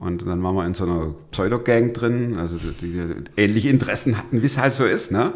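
Over a quiet background, a man speaks at a fairly low pitch with lively intonation. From Stuttgart, Swabia; Swabia, Germany. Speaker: podcast host, pastor and former radio presenter; podcast host, pastor, radio presenter. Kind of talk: interview, telling his life story. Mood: lively storytelling, fervent appeal. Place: studio. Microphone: studio mic.

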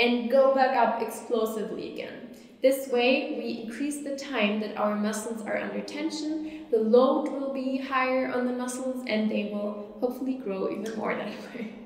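A woman speaks at a high pitch with fairly even intonation. Audible room echo surrounds her voice. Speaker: fitness instructor. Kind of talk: tutorial. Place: empty room.

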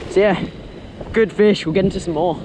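Over faint background noise, a man with a high pitch and slightly mellow tone speaks at a moderate pace with fairly even intonation.

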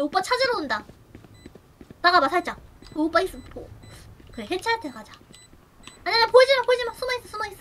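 A woman talks very fast at an extremely high pitch, with very wide pitch swings. Her loudness swings widely, and she takes long, frequent pauses. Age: 20s. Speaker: streamer and game teacher; streamer, game teacher. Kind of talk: casual game coaching chat. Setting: voice call over Discord. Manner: animated. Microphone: video call.

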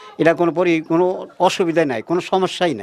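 A man speaks with a high pitch. Noticeable background noise is present. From Bangladesh, Tangail district. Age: 60s. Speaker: poultry farmer. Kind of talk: interview. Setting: at his home farm.

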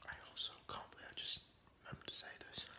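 A soft-spoken whisper at a very fast pace over loud background noise. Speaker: eating video host. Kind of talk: casual vlog chat. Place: home room. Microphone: phone near.

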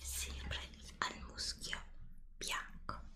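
A woman whispering at a very slow pace. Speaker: ASMR creator. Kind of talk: ASMR whispered product show-and-tell. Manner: whispered.

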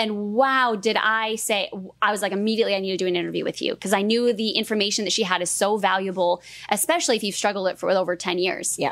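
A woman speaks at a very fast pace. The background is quiet. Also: ordinary pitch variation. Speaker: fitness coach. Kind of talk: podcast interview. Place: studio. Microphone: studio mic.

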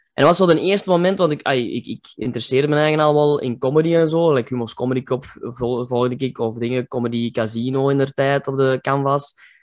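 A man talks very fast with hardly any pauses, his pitch fairly high and its variation ordinary. The background is quiet. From Kempen, Belgium. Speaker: comedian. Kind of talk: interview answer. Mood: cheerful, relaxed, smiling. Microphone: video call.

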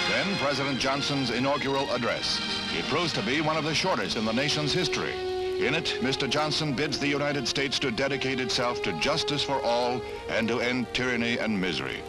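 Over loud background music, a man talks at a fairly quick pace with very even loudness. His pitch is fairly high with ordinary variation, and the sound is dry with no echo. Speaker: newsreel narrator. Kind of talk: 1960s newsreel narration. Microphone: old recording.

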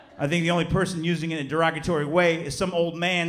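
Light background noise sits behind a man's high voice. He speaks very fast. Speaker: stand-up comedian. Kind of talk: stand-up comedy performance. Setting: live comedy club with audience. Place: stage. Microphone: handheld.

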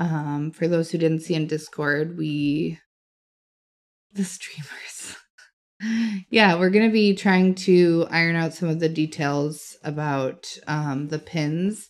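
Soft-spoken and fairly low in pitch, a woman talks very slowly with long, frequent pauses and fairly even intonation on a very clean recording with a silent background. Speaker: crossword livestreamer. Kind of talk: casual chat.

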